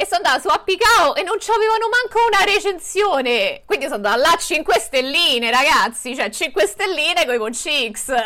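A woman's raised, projected voice sits at an extremely high pitch with very wide pitch swings. She moves at a fairly quick pace with hardly any pauses over noticeable background noise. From Rome, Italy. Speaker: vegan content creator. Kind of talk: casual chat.

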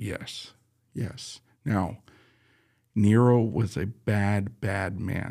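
A man speaks at a very slow pace with long, frequent pauses. His voice is fairly low in pitch, dark and mellow in tone, with fairly even intonation. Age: 40s. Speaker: pastor and podcast host. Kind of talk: casual Bible teaching chat. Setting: studio.

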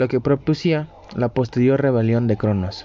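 Noticeable background noise sits behind a man speaking at a medium pitch and moderate pace. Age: 20s. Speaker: student podcaster. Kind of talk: storytelling narration. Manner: halting.

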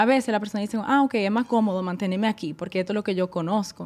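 Her unremarkable speaking voice stays at a medium pitch for a woman, rising and falling in an ordinary way. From Caribbean island (moved from Netherlands at 10). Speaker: wellness enthusiast, marketing graduate. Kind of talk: casual chat.

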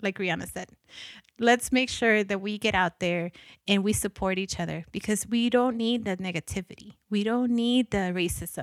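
The delivery moves at a moderate pace with fairly even intonation. The sound is dry and close, with no echo. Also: woman, medium pitch for a woman, very clean recording, silent background. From Guatemala, then Los Angeles. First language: Spanish. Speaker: podcast host. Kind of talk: solo podcast monologue.

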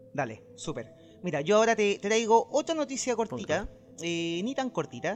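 Music plays behind a man with a high pitch. He speaks at a moderate pace, with very wide pitch swings. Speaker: video game news podcast host. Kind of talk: casual chat. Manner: loud.

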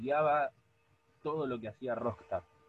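The voice belongs to a man and sounds somewhat breathy. He talks at a moderate pace. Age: 20s. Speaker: podcast co-host. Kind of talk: casual chat.

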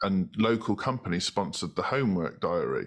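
A man speaks in a British accent at a fairly quick pace. The background is quiet. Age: 30s. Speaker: marketing agency co-founder. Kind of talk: interview.

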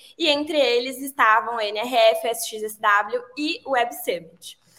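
A woman speaks in a bright, sharp tone with lively intonation. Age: 20s. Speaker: advertising professional. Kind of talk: casual chat.

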